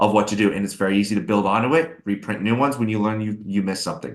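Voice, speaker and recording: A man with an animated tone and ordinary pitch variation. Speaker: SEO agency webinar host. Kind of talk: webinar Q&A. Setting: live webinar. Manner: fast.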